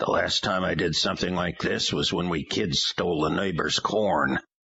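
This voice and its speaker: A man puts on a raspy character voice, very deep and low, speaking at a moderate pace with fairly even intonation. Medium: read story. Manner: dry, wry.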